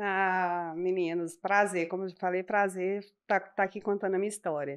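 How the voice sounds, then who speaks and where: With a Minas Gerais accent, a woman speaks at a medium pitch in a monotone, flat intonation. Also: moderate pace. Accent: Minas Gerais (mineiro). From Minas Gerais, Brazil (Belo Horizonte, from 17); born interior of Rio. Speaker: professional woman in a male-dominated field. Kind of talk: casual podcast interview.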